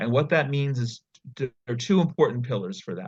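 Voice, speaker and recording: The speaker has an American accent and a somewhat breathy voice, moving at a fairly quick pace. The background is quiet. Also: man. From US, New York / New Jersey area. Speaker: nonprofit founder. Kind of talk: interview.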